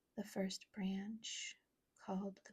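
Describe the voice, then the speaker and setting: A soft-spoken voice with a gentle, soothing tone. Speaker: ASMR creator. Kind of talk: soft-spoken Bible reading for sleep. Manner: soft-spoken, gentle, soothing.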